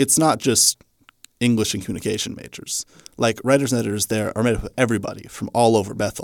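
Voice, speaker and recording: A man with an ordinary speaking voice and an American accent, medium pitch, ordinary pitch variation and a fairly quick pace. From Kansas, Hutchinson. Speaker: student journalist. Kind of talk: interview.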